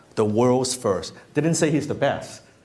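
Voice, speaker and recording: An animated man with a non-native accent, amid noticeable background noise and audible room echo. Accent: speaks English with an. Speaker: marketing and copywriting coach. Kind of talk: seminar talk to live audience. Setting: room with live audience. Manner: animated, casual with frequent restarts.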